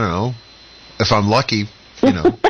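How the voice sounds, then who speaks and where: A man speaks fairly quickly with an American accent, noticeable background noise behind him. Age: 60s. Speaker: radio talk show host. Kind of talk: radio panel discussion.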